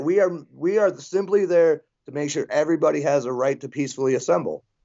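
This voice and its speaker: A man speaks with a Midwestern American accent and lively intonation. His pace is fairly quick. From western Michigan. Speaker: open-carry militia activist. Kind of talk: interview.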